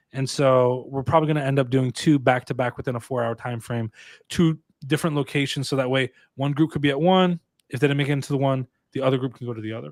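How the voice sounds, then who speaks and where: On a very clean recording with a silent background, a man with an American accent speaks very fast at a medium pitch with fairly even intonation, the sound dry and close with no echo. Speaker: tech streamer and conference organizer. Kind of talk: casual livestream chat.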